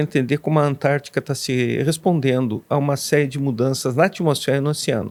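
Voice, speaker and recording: His pitch is fairly high for a man. The man keeps a moderate pace. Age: 60s. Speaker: professor, glaciologist. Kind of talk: interview. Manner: halting.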